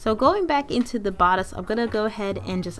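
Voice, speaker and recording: Lively intonation carries a fairly quick pace. Noticeable background noise runs underneath. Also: woman. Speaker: sewing YouTuber. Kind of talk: tutorial.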